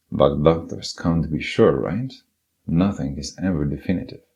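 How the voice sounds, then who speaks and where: A man with a non-native accent speaks at a moderate pace in a very deep, low voice with a dark, mellow tone and ordinary pitch variation. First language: not English. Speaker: podcast narrator, writer. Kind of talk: personal essay narration (podcast voiceover). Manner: unedited single-take reading.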